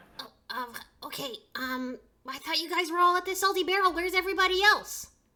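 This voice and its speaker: A put-on character voice rattles along at a very fast pace with an extremely high pitch. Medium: actual play. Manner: jumpy, confused.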